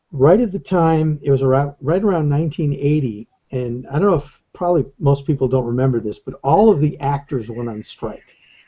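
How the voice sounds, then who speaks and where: Somewhat breathy and fairly high-pitched, a man talks with hardly any pauses and ordinary pitch variation. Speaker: animator. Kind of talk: interview. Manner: halting.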